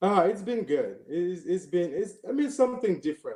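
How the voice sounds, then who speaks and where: Moderate pace with a slight Cameroonian accent. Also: man. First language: French. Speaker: former college basketball player. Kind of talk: interview. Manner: hesitant, many fillers and repetitions.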